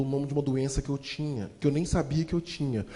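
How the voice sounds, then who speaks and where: The delivery is animated and fairly quick. Noticeable background noise sits behind it. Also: man. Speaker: motivational speaker and storyteller. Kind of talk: motivational storytelling talk. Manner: fast.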